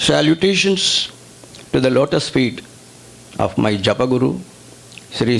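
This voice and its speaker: A man with an Indian accent speaks at a moderate pace and a medium pitch, with noticeable background noise behind him. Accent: Indian English, Telugu. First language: Telugu. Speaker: spiritual teacher. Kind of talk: religious discourse. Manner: reverent, formal.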